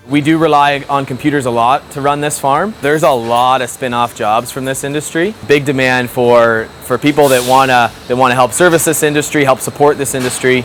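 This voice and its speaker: Over noticeable background noise, a speaker with an Ontario accent talks at a fairly quick pace with fairly even intonation and hardly any pauses. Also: man, medium pitch for a man. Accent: rural Ontario Canadian. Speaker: farmer. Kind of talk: interview.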